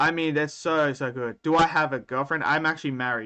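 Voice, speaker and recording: Over a quiet background, a speaker with an Australian accent talks at a moderate pace in a bright, sharp tone with ordinary pitch variation. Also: man. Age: 30s. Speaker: anime streamer. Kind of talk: live stream chat. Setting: live stream. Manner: casual, conversational.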